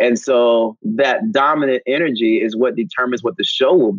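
Someone with a normal speaking voice talks at a moderate pace. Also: man. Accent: American. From US South (North Carolina). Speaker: Broadway actor and singer. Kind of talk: casual interview.

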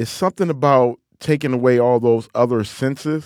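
A man with a Detroit accent at a moderate pace, ordinary pitch variation, dry and close sound with no echo. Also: very clean recording, silent background. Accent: Detroit Midwestern twang. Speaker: author and lecturer. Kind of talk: interview monologue.

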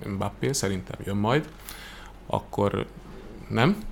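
A man speaks in a fairly low pitch and keeps a moderate pace. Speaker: sports TV commentator. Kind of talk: casual chat.

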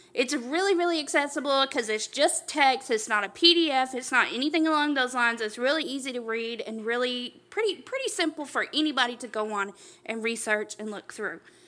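A woman projects her voice loudly at a high pitch, with a bright, sharp tone. Her intonation is lively, and she barely pauses. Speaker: podcast co-host. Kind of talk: casual chat.

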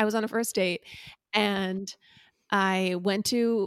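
A woman with a Californian accent on a very clean recording with a silent background. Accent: Californian American English. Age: 30s. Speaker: podcast co-host. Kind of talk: casual chat.

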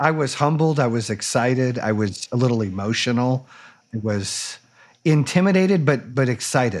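With lively intonation and a medium pitch, a man talks at a moderate pace. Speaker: podcast host. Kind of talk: casual interview chat. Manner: energetic, animated.

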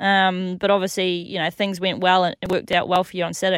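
The speech comes at a very fast pace in a dry, close sound with no echo. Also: woman, very clean recording, silent background. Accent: Australian. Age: 30s. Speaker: jockey and radio co-host. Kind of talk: casual chat.

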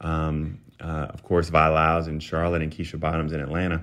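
In an American accent, a man speaks with a very deep, low pitch and monotone, flat intonation. The background is quiet. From US South. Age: 30s. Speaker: political commentator. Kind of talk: interview.

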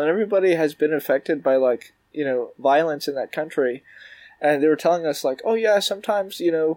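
A man with a Canadian accent talks at a fairly quick pace and fairly high pitch, with ordinary pitch variation, in an unremarkable speaking voice. The sound is dry and close with no echo, in a very clean recording with a silent background. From Canada, Toronto. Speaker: magician. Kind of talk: casual chat.

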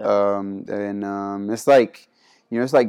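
A man speaks at a fairly quick pace in a fairly low, dark and mellow voice with monotone, flat intonation. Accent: Spanish. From Panama. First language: Spanish. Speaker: college basketball player. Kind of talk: interview.

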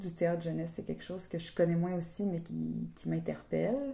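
The speaker is a woman. Her pitch is fairly low. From Ottawa-Gatineau region, Canada. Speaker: actress. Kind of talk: interview. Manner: halting, many fillers and repetitions.

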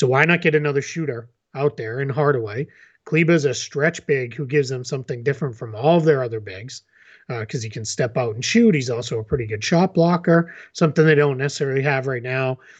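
Against a quiet background, a man talks at a fairly quick pace. His voice is somewhat breathy, with big swings in loudness. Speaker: NBA analyst. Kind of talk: casual sports discussion.

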